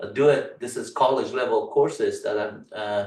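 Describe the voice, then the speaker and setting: A man talks at a moderate pace with an Afghan accent. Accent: Afghan Persian accent in English. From Afghanistan, Kabul. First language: Farsi. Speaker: tech instructor. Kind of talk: tutorial. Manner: halting, many fillers.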